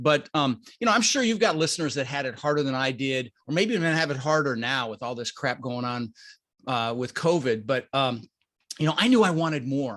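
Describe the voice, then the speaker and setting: This man talks at a fairly quick pace in a fairly high pitch with ordinary pitch variation. He has a plain, everyday voice with an American accent. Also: quiet background. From Colorado, US. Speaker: real estate investor. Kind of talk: podcast interview.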